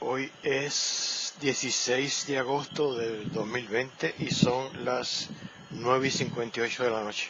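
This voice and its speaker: A man speaks very slowly with fairly even intonation, with audible room echo and noticeable background noise in the recording. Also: medium pitch for a man. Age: 70s. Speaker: condominium administrator. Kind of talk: informal lecture. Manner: halting.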